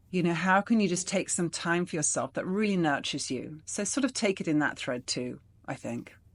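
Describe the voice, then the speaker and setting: A woman's fairly low voice at a fairly quick pace, lively intonation over a quiet background. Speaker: self-love mentor, video host. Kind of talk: casual solo talk to camera. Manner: animated.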